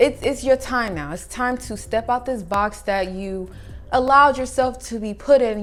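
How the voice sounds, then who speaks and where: Music plays in the background as a woman talks at a moderate pace with ordinary pitch variation. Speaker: spiritual channel creator. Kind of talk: motivational monologue. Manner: animated.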